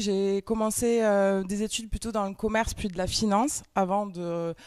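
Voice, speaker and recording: A woman at medium pitch with a slight Toulouse accent, fairly slow delivery, and a very clean recording over a silent background. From France, Toulouse. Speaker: entrepreneur and trainer. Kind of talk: conference talk. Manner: hesitant, many fillers.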